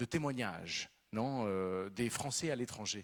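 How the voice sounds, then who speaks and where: With a Spanish accent, the speaker moves at a fairly slow pace and shows ordinary pitch variation. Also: man. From Venezuela. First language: Spanish (speaking French). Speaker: novelist. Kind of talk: literary talk.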